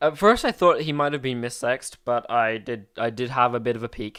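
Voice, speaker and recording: A man with a British accent at a medium pitch, with ordinary pitch variation and a moderate pace, on a very clean recording with a silent background. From England. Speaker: podcast co-host. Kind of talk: casual chat.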